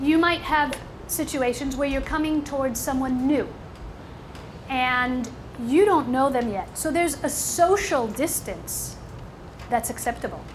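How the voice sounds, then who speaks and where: A woman with a high pitch and an animated tone speaks fairly slowly with long, frequent pauses, amid noticeable background noise and audible room echo. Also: ordinary pitch variation. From New York. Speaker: motivational speaker. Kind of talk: seminar talk.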